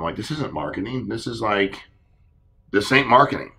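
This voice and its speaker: A bright, sharp tone moves at a fairly quick pace amid audible room echo. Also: man. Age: 40s. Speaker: insurance sales leader hosting a training call. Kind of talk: sales training conference call.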